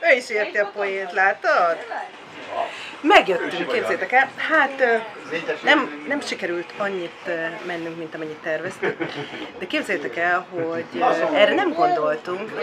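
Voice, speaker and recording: A woman speaks at a medium pitch and a fairly slow pace, her pitch swinging very widely. Long pauses come often, over noticeable background noise. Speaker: family vlogger. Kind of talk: casual vlog talk.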